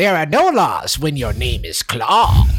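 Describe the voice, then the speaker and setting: A put-on character voice from a man, fairly slow in pace. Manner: dramatic, menacing.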